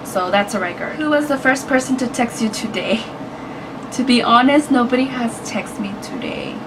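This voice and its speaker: In a room with audible echo and noticeable background noise, a woman with a Spanish accent talks at a moderate pace with ordinary pitch variation. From United States, Mexican-American family. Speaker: YouTuber. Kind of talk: casual vlog. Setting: indoors, hot room.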